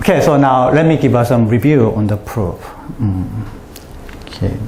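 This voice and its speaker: Medium-pitched male voice over noticeable background noise, with audible room echo. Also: ordinary pitch variation, moderate pace. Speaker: mathematician giving a colloquium talk. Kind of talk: lecture. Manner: halting, many fillers.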